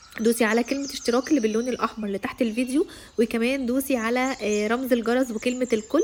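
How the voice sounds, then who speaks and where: A woman with an Egyptian accent talks very fast in a high voice, with noticeable background noise. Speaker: vlogger. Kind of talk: casual vlog talk to camera.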